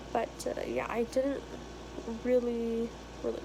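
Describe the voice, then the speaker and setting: A woman speaks at a fairly slow pace. Noticeable background noise and audible room echo surround her. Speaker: engineering vlogger. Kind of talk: casual vlog. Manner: casual, conversational.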